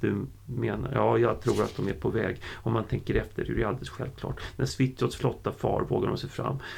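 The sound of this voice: Unforced voice used for reading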